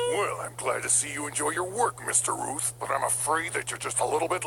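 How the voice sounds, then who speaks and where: A man's put-on character voice, fairly high-pitched and fairly quick, over clear background noise. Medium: fan dub. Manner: gruff, blustering.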